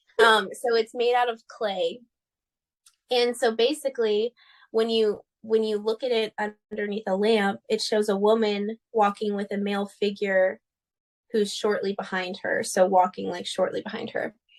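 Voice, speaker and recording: In a normal speaking voice, a woman with an American accent talks at a moderate pace, her fairly high pitch held in fairly even intonation, and the sound is dry and close with no echo. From United States. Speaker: podcast co-host. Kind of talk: casual chat.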